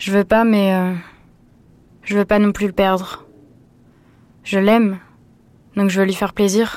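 On a very clean recording with a silent background, a woman speaks at a medium pitch and a fairly slow pace. Her intonation is monotone and flat, with long, frequent pauses. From western France. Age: 20s. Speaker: student sharing personal story. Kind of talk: testimony.

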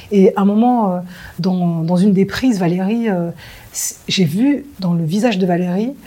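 A woman speaks at medium pitch with a dark, mellow tone. Her voice is somewhat breathy, and her pitch varies in an ordinary way. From France. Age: 40s. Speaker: film director. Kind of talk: interview. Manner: halting.

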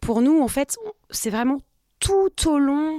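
In a dry, close sound with no echo, a woman talks at a very slow pace, her pitch swinging very widely. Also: very clean recording, silent background. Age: 40s. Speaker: recruiter and company co-founder. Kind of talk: interview. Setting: studio.

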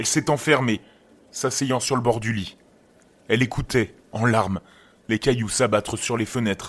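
With long, frequent pauses, a man talks at a fairly slow pace in a medium pitch with ordinary pitch variation. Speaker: horror podcast narrator. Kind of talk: scripted horror story narration, reading a creepypasta aloud. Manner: slow, hushed, suspenseful storytelling.

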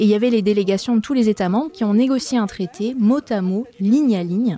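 Her voice has a dark, mellow tone at medium pitch, moving at a fairly quick pace in a dry, close sound with no echo. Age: 30s. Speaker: journalist and podcast host. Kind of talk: scripted narration.

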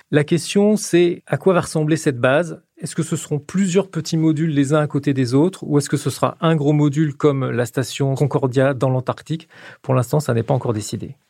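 A man's dark, mellow, somewhat breathy voice sits at a fairly high pitch and has hardly any pauses. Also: ordinary pitch variation, fairly quick pace. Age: 50s. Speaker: science journalist. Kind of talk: explanatory interview.

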